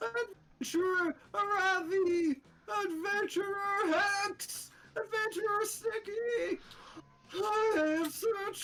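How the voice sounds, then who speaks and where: Squeaky and at an extremely high pitch, a put-on character voice speaks at a very slow pace. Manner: calling out urgently.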